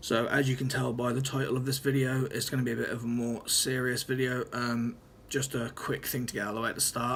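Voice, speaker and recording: A man with an East Anglian accent talks at a very fast pace with hardly any pauses, in a medium pitch and monotone, flat intonation. Noticeable background noise sits behind him. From Norfolk, England. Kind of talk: casual talk to camera. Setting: room with open window, background traffic noise. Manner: hesitant, stuttering.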